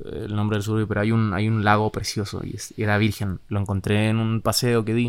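A man has a normal speaking voice with a fairly low pitch. He speaks at a moderate pace. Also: very clean recording, silent background. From Chile, Santiago. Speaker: musician, band member. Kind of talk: casual interview chat.

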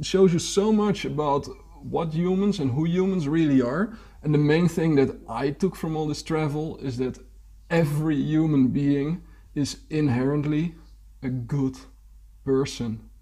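A man speaks at a fairly slow pace in a fairly high pitch, his dark, mellow tone somewhat breathy and his pitch varying in an ordinary way. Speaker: podcast host. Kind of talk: casual interview chat.

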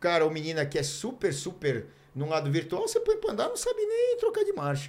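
A man is speaking. His pace is moderate. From Brazil, Mogi Mirim (São Paulo state). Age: 50s. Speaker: former pro cyclist and TV cycling commentator. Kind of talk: casual chat. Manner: hesitant, with many fillers.

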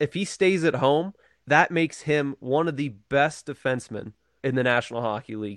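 Against a quiet background, a man with a normal speaking voice talks at a fairly high pitch with ordinary pitch variation. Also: moderate pace, dry, close sound with no echo. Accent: American. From western Pennsylvania, Johnstown. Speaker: hockey fan. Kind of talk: casual chat.

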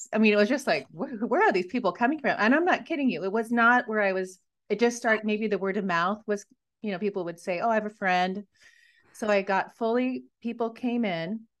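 A woman with an American accent speaks at a fairly quick pace in a fairly high pitch, her pitch varying in an ordinary way over a quiet background. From US Pacific Northwest (Washington). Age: 30s. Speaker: life coach and podcaster. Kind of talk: casual interview, personal story. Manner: animated.

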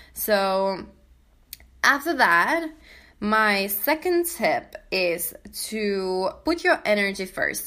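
With a non-native accent, a woman speaks in a bright, sharp tone, her pitch swinging very widely. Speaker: podcast host and coach. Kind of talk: casual solo podcast monologue. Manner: animated.

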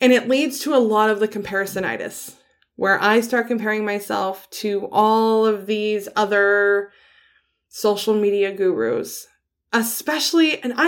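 In a very clean recording with a silent background, a woman speaks at a moderate pace. She has a normal speaking voice, fairly high in pitch, with ordinary pitch variation. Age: 30s. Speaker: podcast host. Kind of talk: casual monologue. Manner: casual with fillers.

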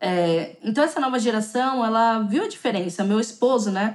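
A woman speaks at a fairly high pitch and a moderate pace with ordinary pitch variation. It is a normal speaking voice. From São Paulo, Brazil (south zone). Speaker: Brazilian expat in China, YouTuber. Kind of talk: podcast interview. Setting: remote call.

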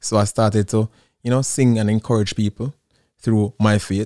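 A man with a Jamaican accent speaks in a fairly low pitch with a dark, mellow tone. His intonation is flat and monotone, and the recording is very clean with a silent background. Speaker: musician, singer-songwriter. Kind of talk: casual interview chat.

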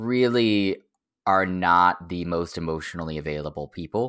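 A man with an American accent has a very deep, low pitch and a bright, sharp tone, speaking at a fairly slow pace with ordinary pitch variation. The recording is very clean, with a silent background. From Oklahoma, near the Texas border. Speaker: strategy firm founder, former political digital strategist. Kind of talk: casual interview conversation.

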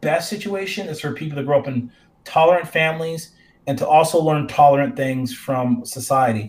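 A man with an American accent and fairly high pitch, somewhat breathy, at a moderate pace with ordinary pitch variation and big swings in loudness. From North Carolina, US. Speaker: professor. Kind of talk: discussion.

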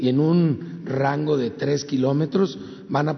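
A man with a fairly high-pitched voice talks while noticeable background noise can be heard. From Guanajuato, Mexico. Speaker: government official. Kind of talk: briefing report.

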